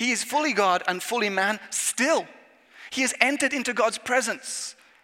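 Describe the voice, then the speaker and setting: This man speaks with an English accent, using lively intonation and a bright, sharp tone. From England. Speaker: youth minister. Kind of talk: sermon.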